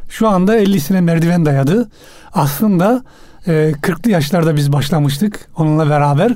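Speaking at a fairly slow pace, a man has a high pitch, a dark, mellow tone and ordinary pitch variation. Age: 50s. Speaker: crime novelist. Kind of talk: radio interview. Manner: halting.

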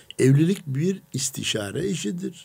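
His pitch sits in the medium range for a man. Still, it leaps up and down very widely as he talks. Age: 60s. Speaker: preacher. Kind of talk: religious radio talk.

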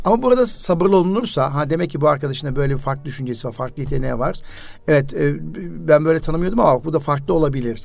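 A man's fairly high voice at a very fast pace, ordinary pitch variation, noticeable background noise behind him. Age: 50s. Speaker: radio host and educator. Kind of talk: casual radio interview.

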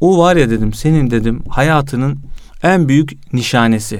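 Audible room echo surrounds a man's fairly high-pitched voice. He talks at a fairly slow pace with ordinary pitch variation. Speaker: youth association president and magazine editor. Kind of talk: religious talk. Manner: energetic.

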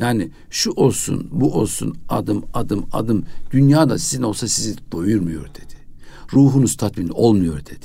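With vocal fry and a dark, mellow tone, a man speaks at a fairly slow pace in a fairly low pitch that makes very wide swings. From Kayseri, central Anatolia, Turkey. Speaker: mufti, religious official. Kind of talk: radio interview, life story. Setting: radio studio.

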